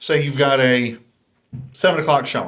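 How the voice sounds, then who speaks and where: A man with a North Carolina accent speaks at a moderate pace in a fairly high pitch. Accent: Southern US, North Carolina. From US South, North Carolina. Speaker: YouTuber, dating commentator. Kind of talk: casual monologue commentary. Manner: casual, conversational.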